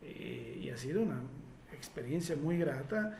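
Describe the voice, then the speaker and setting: In a room with audible echo, a man talks with ordinary variation in his pitch. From Italy. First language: Italian (speaking Spanish). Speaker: hypnosis therapist. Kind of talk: live Q&A workshop. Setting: live stream. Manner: halting, many fillers.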